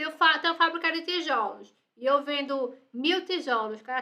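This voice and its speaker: A woman's high, raised, projected voice with a bright, sharp tone and ordinary pitch variation. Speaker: university lecturer. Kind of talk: lecture. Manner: fast.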